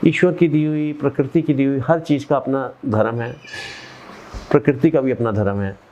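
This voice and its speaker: Moderately paced, lively speech from a man with a fairly high voice, noticeable background noise behind it. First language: Punjabi (speaking Hindi). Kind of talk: interview. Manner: halting.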